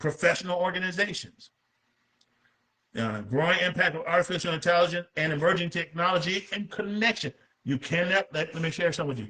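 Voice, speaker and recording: A man with a high pitch and animated tone, at a fairly quick pace with ordinary pitch variation. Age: 60s. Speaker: pastor and author. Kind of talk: book presentation talk. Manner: halting.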